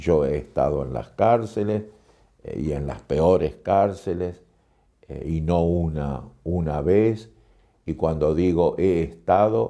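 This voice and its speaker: Very slowly, with long, frequent pauses, a man speaks in a very deep, low voice with a dark, mellow tone and ordinary pitch variation. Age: 70s. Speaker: poet and writer on madness. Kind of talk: interview.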